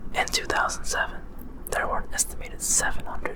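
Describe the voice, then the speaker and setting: Whispering comes through over noticeable background noise. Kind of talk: non-fiction book reading. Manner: whispered.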